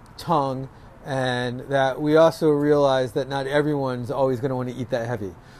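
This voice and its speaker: At a fairly quick pace, a man speaks with a New York accent. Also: medium pitch for a man, fairly even intonation. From New York, Rockland County. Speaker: restaurant owner. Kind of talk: interview. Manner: casual, with many fillers.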